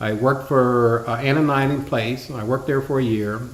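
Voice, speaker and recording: Audible room echo surrounds a man with an American accent who speaks fairly quickly at a medium pitch. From Ohio, Youngstown. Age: 50s. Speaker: interviewee telling life story. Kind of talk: interview. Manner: halting.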